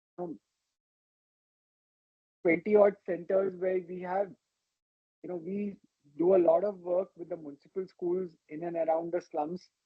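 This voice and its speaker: Soft-spoken, a man talks at a moderate pace with a high pitch. His intonation is monotone and flat, broken by long, frequent pauses. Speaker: ophthalmologist, retina specialist. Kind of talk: personal life-story talk to an audience.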